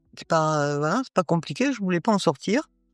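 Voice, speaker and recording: Music plays behind a woman whose voice sits fairly low in pitch. The sound is dry and close, with no echo. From northern France. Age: 60s. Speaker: Paralympic athlete. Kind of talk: interview. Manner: halting, many hesitations.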